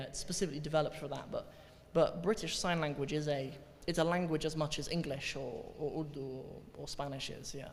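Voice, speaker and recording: With audible room echo and noticeable background noise, a man at a fairly high pitch speaks at a moderate pace and fairly even intonation. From Cornwall, England. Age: 20s. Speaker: Arabic teacher, convert telling his story. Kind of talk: talk to audience, Q&A. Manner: hesitant, repeats words.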